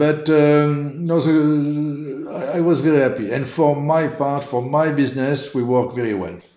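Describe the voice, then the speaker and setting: With a French accent and a fairly high pitch for a man, he talks at a fairly slow pace with hardly any pauses and fairly even intonation, and the room echo is audible. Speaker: motorsport event organiser. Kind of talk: interview. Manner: halting.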